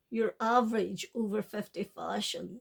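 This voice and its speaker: Speech comes at a very slow pace with a British accent. The pitch varies in an ordinary way. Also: woman. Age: 60s. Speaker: fashion vlogger. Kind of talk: product haul video. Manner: animated.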